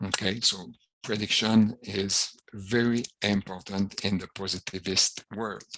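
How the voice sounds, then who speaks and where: A man speaking in a French accent, fairly slowly, with fairly even intonation. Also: fairly low pitch for a man. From Quebec. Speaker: professor. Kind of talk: lecture. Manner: hesitant, frequent fillers.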